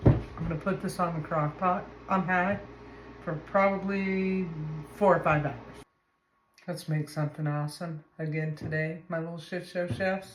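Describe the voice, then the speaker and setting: A soft-spoken, somewhat breathy woman's voice, fairly low in pitch, at a moderate pace with fairly even intonation and long, frequent pauses. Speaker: home cooking video host. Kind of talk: cooking tutorial. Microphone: no microphone, camera audio.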